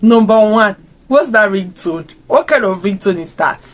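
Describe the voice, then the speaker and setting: A woman speaks with an animated tone. Her pitch is fairly high. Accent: African. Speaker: YouTuber reacting to a series. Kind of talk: casual reaction video.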